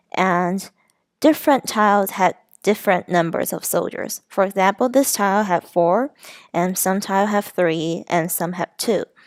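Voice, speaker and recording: A woman with a non-native accent speaks at a moderate pace and medium pitch, with ordinary pitch variation. The sound is dry and close with no echo, and the recording is very clean over a silent background. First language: not English. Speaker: student presenting a game design. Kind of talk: class presentation. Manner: halting.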